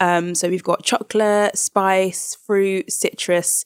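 In a London accent, a woman speaks at medium pitch and a very slow pace, in a dry, close sound with no echo. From South London. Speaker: baker and cookbook author. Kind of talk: interview.

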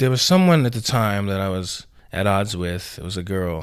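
An ordinary speaking voice from a man, fairly low in pitch, with an American accent. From Houston, Texas (Alief). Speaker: male entertainer and musician. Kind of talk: casual interview.

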